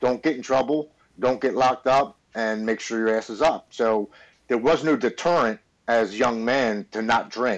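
Against a quiet background, a man uses a normal speaking voice at a medium pitch and moderate pace with ordinary pitch variation. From Baltimore, Maryland, US. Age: 40s. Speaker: military veteran in recovery. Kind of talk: testimony.

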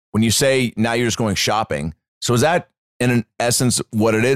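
A man talks at a moderate pace with ordinary pitch variation, the sound dry and close with no echo. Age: 30s. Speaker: comedian. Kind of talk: casual chat. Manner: animated.

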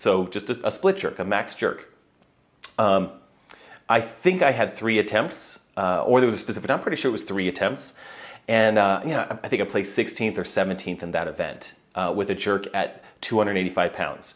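A man's fairly low voice, an ordinary speaking voice, at a moderate pace with ordinary pitch variation. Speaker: podcast host and CrossFit athlete. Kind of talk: casual monologue.

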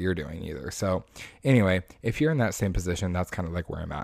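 A man's very deep, low pitch at a very fast pace, on a very clean recording with a silent background. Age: 20s. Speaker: podcast host. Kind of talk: casual solo monologue. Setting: home recording with microphone. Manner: rambling, halting with fillers.

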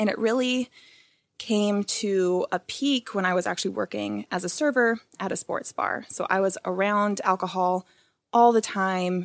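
A woman's ordinary speaking voice, medium in pitch with ordinary pitch variation, at a moderate pace, dry and close with no echo. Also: very clean recording, silent background. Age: 20s. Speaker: sober lifestyle advocate. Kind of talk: casual interview.

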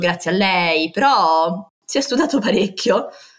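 A woman's voice with a fairly low pitch. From Rome, Italy. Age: 20s. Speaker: landscape architect. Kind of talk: interview testimony. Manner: animated.

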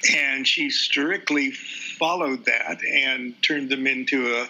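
A man with a fairly high pitch talks at a fairly slow pace, noticeable background noise behind him. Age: 70s. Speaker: occult author and teacher. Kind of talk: interview conversation. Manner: halting, frequent fillers and repetitions.

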